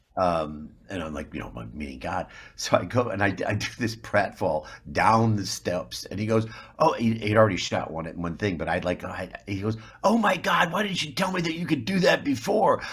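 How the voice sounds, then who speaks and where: Speaking at a moderate pace with an American accent, a man with fairly low pitch and vocal fry swings his pitch very widely. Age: 60s. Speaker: actor. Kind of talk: interview. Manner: halting, repeats words.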